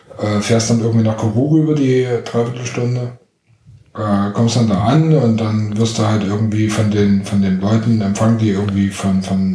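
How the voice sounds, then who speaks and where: A man with a slight Saxon accent speaks at a fairly low pitch. Noticeable background noise and audible room echo surround him. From Dresden, Saxony. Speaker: documentary filmmaker. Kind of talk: casual chat. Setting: home kitchen. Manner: halting, many fillers.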